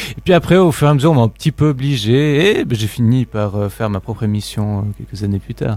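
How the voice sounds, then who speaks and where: A man's normal speaking voice, medium-pitched, at a fairly quick pace with hardly any pauses and lively intonation. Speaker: student radio member. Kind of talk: casual chat.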